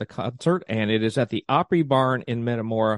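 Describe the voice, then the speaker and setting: In an American accent, a man speaks at a moderate pace and medium pitch in a plain, everyday voice. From US South, East Tennessee. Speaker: tourism podcast host. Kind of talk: event announcements; interview.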